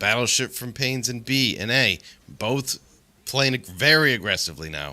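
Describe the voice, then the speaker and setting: A man speaks at a moderate pace in a medium pitch with a bright, sharp tone and vocal fry. The recording is very clean, with a silent background. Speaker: esports caster. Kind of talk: live commentary. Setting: live stream.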